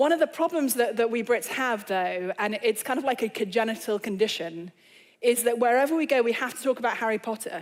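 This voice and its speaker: A woman speaks in an English accent. Her pitch is high, with ordinary variation. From England. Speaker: author and speaker. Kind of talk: lecture. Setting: stage with audience.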